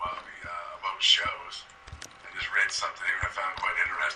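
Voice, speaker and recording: Using a raspy, put-on character voice, a man talks at a moderate pace over light background noise. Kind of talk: mock news broadcast. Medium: game stream.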